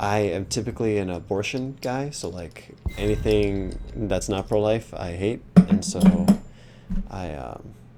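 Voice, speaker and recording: Music plays in the background as the speech moves at a fairly slow pace with big swings in loudness. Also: man. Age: 30s. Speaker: video game streamer. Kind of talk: casual chat.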